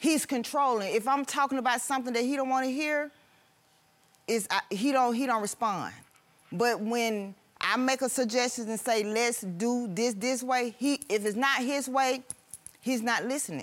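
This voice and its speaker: On a very clean recording with a silent background, a woman with a high pitch speaks at a moderate pace and a very even loudness. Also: ordinary pitch variation. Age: 50s. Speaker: litigant, hospital worker. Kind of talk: courtroom testimony. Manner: agitated.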